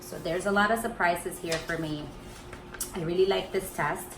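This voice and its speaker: A woman's fairly low voice with a Spanish accent, audible room echo and noticeable background noise. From Colombia. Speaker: wellness vlogger. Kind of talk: product review vlog.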